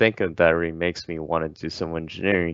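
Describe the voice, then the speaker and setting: A man speaks with a Chinese accent. His pitch is very deep and low. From China, Qingdao. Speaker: engineering student ambassador. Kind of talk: casual interview.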